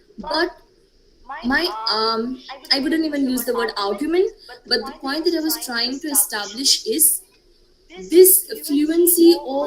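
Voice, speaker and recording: Over noticeable background noise, a woman with a high pitch and lively intonation speaks at a very slow pace. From India, Gujarat. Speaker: panelist. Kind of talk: panel discussion.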